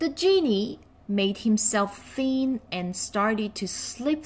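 With lively intonation, the words are read aloud plainly.

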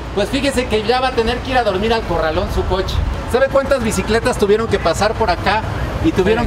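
Music plays in the background as the speaker goes at a very fast pace. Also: man, ordinary pitch variation. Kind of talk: confrontational street commentary. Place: street. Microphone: phone near.

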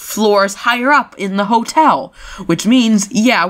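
The clip features a natural reading voice. That delivery does not change.

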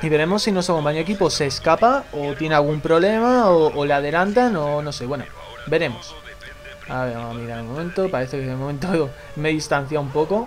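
Music is playing behind the speaker. The voice rises and falls in a lively way. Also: man. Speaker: gaming YouTuber. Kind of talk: gameplay commentary. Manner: animated.

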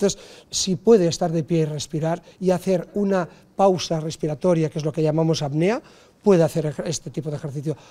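Recorded very cleanly against a silent background, a man with a high pitch, a dark, mellow tone and ordinary pitch variation talks at a fairly quick pace. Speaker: fitness and physiotherapy instructor. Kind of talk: interview. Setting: on location. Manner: explanatory.

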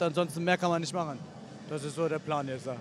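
With light background noise and a dry sound with no echo, a man talks with ordinary pitch variation. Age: 30s. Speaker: MMA fighter. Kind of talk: post-fight interview. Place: hall. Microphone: handheld.

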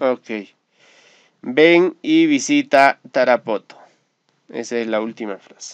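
Speaking at a medium pitch, a man goes at a very slow pace. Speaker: English teacher. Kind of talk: tutorial. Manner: hesitant fillers.

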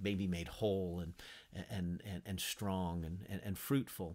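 A man with a very deep, low pitch speaks at a moderate pace. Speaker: Bible teacher. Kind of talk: lecture. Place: home room. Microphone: webcam.

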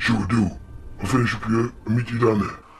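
A man's put-on character voice at medium pitch, fairly quick, over clear background noise. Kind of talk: acted comedy sketch dialogue. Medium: comedy sketch. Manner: casual, laid-back. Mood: casual, agreeable.

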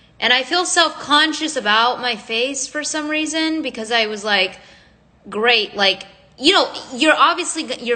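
Lively intonation at a fairly slow pace. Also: woman. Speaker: content creator. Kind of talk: casual livestream chat. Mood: earnest, self-conscious. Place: home room. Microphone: phone near.

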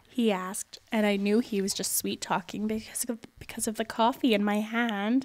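Someone reads in an unforced reading voice.

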